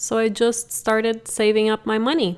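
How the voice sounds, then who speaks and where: A woman's fairly slow speech with a Portuguese accent. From Brazil. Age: 30s. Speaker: podcast host, real estate investor. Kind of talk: personal story monologue.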